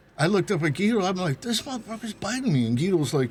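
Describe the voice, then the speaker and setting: This man's pitch swings very widely as he talks. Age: 60s. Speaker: bar regular playing Santa. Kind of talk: casual chat.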